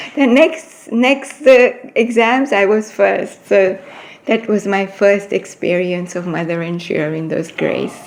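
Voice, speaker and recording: Noticeable background noise sits behind a woman who speaks at a fairly slow pace with a medium pitch and lively intonation. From East Africa. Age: 70s. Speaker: spiritual devotee. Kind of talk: interview. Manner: hesitant.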